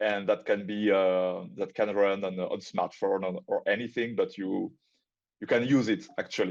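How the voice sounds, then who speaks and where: Against a quiet background, a man with a strong non-native accent speaks at a moderate pace. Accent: strong foreign. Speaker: crypto project community member. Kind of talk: casual chat. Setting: online audio space. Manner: halting.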